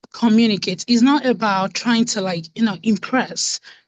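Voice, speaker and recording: In a quiet background, a woman's somewhat breathy voice sits at a fairly high pitch. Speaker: workshop participant. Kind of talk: casual chat. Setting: video call.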